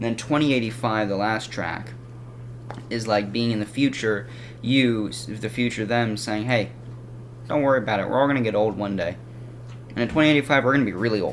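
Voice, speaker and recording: A man talks at a fairly quick pace with long, frequent pauses, a medium pitch and fairly even intonation. Audible room echo and noticeable background noise fill the recording. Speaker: music reviewer. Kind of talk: casual video review. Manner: fast; halting.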